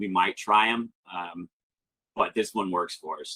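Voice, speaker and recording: A man speaks in an animated tone. His voice sounds bright and sharp. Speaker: live selling auction host. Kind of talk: webinar walkthrough with Q&A. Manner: loud.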